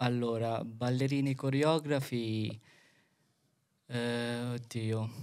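A man talks at a very slow pace in a flat monotone, with long, frequent pauses against a quiet background. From Philippines. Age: 20s. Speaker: dance choreographer; podcast guest. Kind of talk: casual chat. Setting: studio. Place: studio. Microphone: studio mic.

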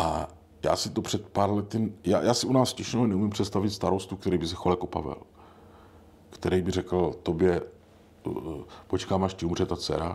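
Speaking at a moderate pace with long, frequent pauses, a man uses a very deep, low pitch and fairly even intonation. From Brno, Moravia. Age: old. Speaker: podcast host. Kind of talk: casual chat.

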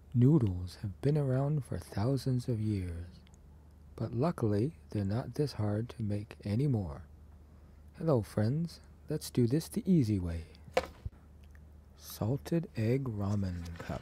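A soft-spoken, somewhat breathy voice with a dark, mellow tone moves very slowly, leaving long, frequent pauses. Its pitch swings very widely. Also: man, medium pitch for a man. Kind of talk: ASMR cooking narration.

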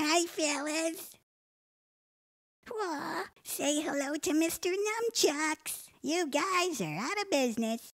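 A woman's cartoonish character voice, extremely high-pitched, with lively intonation, a very slow pace and long, frequent pauses. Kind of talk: comic overacting. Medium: puppet show. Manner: feisty, tough, wisecracking.

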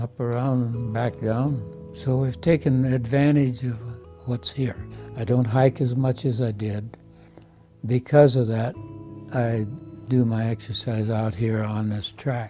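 Over faint music in the background, a speaker with an American accent talks at a fairly slow pace in a relaxed tone, leaving long, frequent pauses. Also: man, ordinary pitch variation. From Iowa, USA. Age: 80s+. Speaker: Navy veteran, nursing home resident. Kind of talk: testimonial interview. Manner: relaxed, hesitant. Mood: warm, content, reflective. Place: home room. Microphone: lapel.

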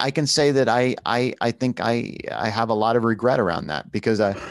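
A man has a plain, everyday voice at a medium pitch. His pitch variation is ordinary. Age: 40s. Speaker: film director and podcaster with vision loss. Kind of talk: casual interview conversation.

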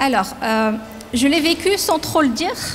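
At a fairly slow pace, a woman talks over light background noise. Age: 40s. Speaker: company president. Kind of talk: interview. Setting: factory. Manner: halting. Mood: calm, reflective. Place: factory. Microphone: handheld.

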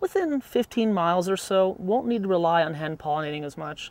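Lively intonation and a fairly quick pace come through in a dry sound with no echo. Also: man. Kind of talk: tutorial. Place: garden.

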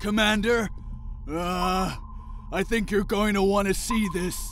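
A man's high-pitched, put-on character voice at a fairly slow pace, with very even loudness and clear background noise. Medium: dub. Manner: hesitant.

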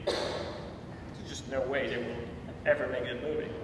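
A man is speaking with audible room echo. Loud background noise is present. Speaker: interviewee. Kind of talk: interview answer. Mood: relaxed, conversational. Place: office.

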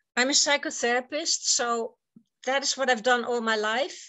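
A woman with a Dutch accent speaks at a fairly slow pace in a high pitch with ordinary pitch variation, over a quiet background. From Netherlands. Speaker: psychotherapist; conference speaker. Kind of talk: conference talk. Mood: earnest, urging. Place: home room. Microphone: webcam.

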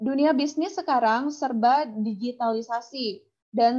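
The woman's tone is dark and mellow, set against a quiet background. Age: young. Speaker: webinar MC. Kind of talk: moderating Q&A, reading out questions. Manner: casual, enthusiastic. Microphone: video call.

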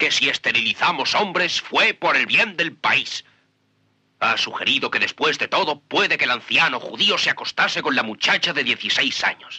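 With very wide pitch swings but very even loudness, a man speaks at a high pitch and a moderate pace, in a dry, close sound with no echo. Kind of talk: performed courtroom monologue from a film, dubbed Spanish, solemn and confessional. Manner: grave, measured and impassioned, building to bitter self-accusation.

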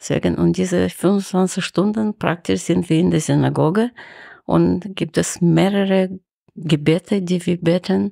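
On a very clean recording with a silent background, a woman talks at a very slow pace with very even loudness. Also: dry, close sound with no echo. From Ukraine (Kharkiv, former Soviet Union). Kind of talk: interview.

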